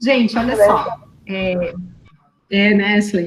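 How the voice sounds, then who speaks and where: A woman's somewhat breathy voice, fairly high in pitch. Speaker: university lecturer. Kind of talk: online lecture. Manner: fast.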